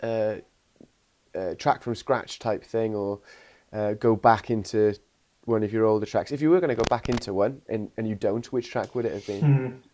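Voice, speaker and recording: A man with a Welsh accent, medium pitch and a dark, mellow tone, at a moderate pace with ordinary pitch variation, on a very clean recording over a silent background. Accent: posh-sounding Welsh. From Wales. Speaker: interviewer. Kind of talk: casual interview chat.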